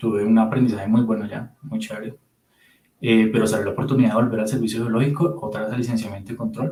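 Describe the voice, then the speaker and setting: Speaking very fast, a man with a Bogotá accent has a medium-pitched, dark, mellow tone. His voice is somewhat breathy, with ordinary pitch variation. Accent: Bogotá Colombian. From Colombia, Bogotá. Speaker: physicist, radiation protection specialist. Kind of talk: interview conversation.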